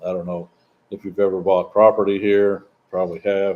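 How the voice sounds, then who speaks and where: Speaking at a fairly slow pace, a man with a fairly low pitch has a slight Southern US accent. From US South, Southeastern Missouri. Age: 60s. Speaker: expat vlogger. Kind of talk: casual live-stream Q&A. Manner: halting, repetitive.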